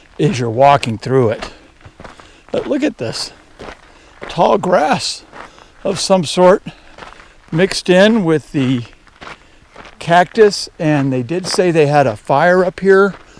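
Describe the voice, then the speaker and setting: Very slow and full of long, frequent pauses, a man with an American accent speaks with lively intonation over noticeable background noise. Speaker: hiker vlogger. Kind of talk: casual vlog narration. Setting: outdoors on a mountain trail. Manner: conversational, hesitant fillers.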